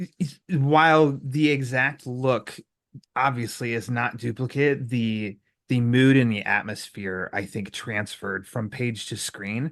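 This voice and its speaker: With an American accent, a man speaks at a fairly slow pace in a medium pitch, using ordinary pitch variation. He has an ordinary speaking voice, heard over a quiet background. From US Midwest. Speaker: podcast host. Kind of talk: casual interview chat.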